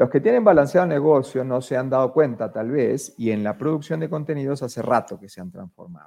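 A dark, mellow voice with an Argentine accent, lively intonation, big swings in loudness, a fairly quick pace with hardly any pauses, and a quiet background. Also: man, medium pitch for a man. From Argentina. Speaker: media executive. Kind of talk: interview conversation. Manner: animated.

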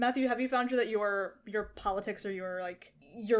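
In a normal speaking voice with an American accent, this speaker talks at a fairly quick pace with fairly even intonation, recorded very cleanly against a silent background. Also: woman. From US. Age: 20s. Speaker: podcast host and student. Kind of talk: casual podcast conversation.

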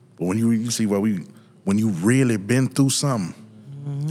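This is an unremarkable speaking voice. It moves at a fairly quick pace with lively intonation. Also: man. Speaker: podcast co-host. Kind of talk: casual chat. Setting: studio.

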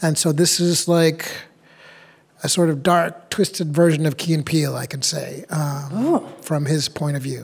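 A man's ordinary speaking voice with an American accent, fairly high in pitch, with fairly even intonation at a moderate pace. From New Hampshire, US. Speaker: actor. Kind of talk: interview.

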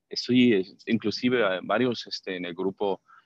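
His intonation is fairly even. It is a man talking. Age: 50s. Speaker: patient. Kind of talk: testimony. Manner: halting.

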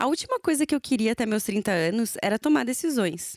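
A woman speaks at a fairly quick pace with a fairly high pitch and very wide pitch swings. The recording is very clean, with a silent background and a dry, close sound with no echo. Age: 30s. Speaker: journalist, podcast host. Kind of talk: solo monologue podcast.

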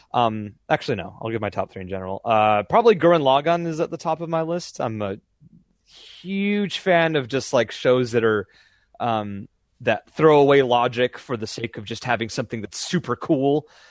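A man with a medium pitch and lively intonation speaks at a moderate pace. The sound is dry and close with no echo, over a quiet background. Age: 20s. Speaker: voice actor. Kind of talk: casual interview. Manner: halting, many fillers.

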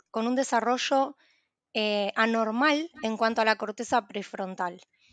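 Fairly slow speech comes from a woman in a dry, close sound with no echo and a quiet background. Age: 20s. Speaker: psychologist. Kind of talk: expert interview explanation.

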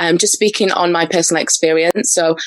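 This is a woman with a normal speaking voice. Her pitch variation is ordinary. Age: 20s. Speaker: personal brand coach. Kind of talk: interview conversation.

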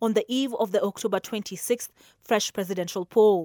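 A woman speaks at a fairly quick pace with an unremarkable speaking voice, medium in pitch, and ordinary pitch variation. The sound is dry and close with no echo, on a very clean recording against a silent background. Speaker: news reader. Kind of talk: news reading. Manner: formal; brisk, even newsreader delivery.

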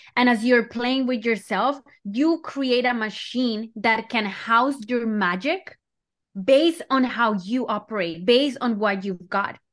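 Recorded very cleanly against a silent background, a woman speaks high-pitched at a fairly slow pace with ordinary pitch variation. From Colombia. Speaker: slow living mentor. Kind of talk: casual interview.

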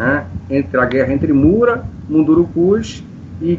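A man's fairly high voice at a fairly slow pace, with noticeable background noise. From Brazil, Manaus (Amazonas). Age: 50s. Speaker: composer and science teacher. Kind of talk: interview.

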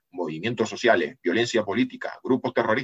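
At a fairly quick pace, a man speaks at a medium pitch in a plain, everyday voice. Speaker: geopolitics analyst and writer. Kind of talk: casual interview.

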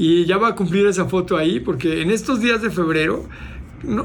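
The speech moves at a fairly quick pace amid noticeable background noise and audible room echo. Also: man. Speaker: motivational speaker and entrepreneur. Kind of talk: casual interview.

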